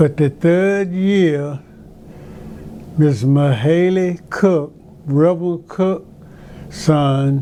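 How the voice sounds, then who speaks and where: Very slowly and with long, frequent pauses, a man with an Alabama accent speaks at a fairly high pitch, with ordinary pitch variation and very even loudness. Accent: Southern US (Alabama). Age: 90s. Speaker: retired teacher and basketball coach. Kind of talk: interview.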